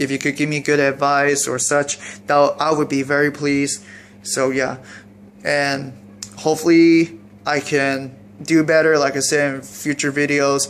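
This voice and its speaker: Amid noticeable background noise, a man speaks at a fairly high pitch. He goes at a fairly slow pace with monotone, flat intonation. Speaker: YouTuber reviewing paintball gear. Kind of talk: unboxing video. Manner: halting, self-described stuttering; casual, rambling delivery.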